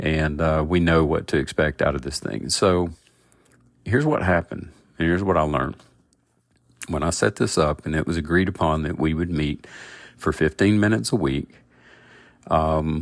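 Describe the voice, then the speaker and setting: In a very clean recording with a silent background, a man with a very deep, low voice, vocal fry and ordinary pitch variation speaks with long, frequent pauses. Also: moderate pace. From US South. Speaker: podcast host, agile product coach. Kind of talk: podcast monologue.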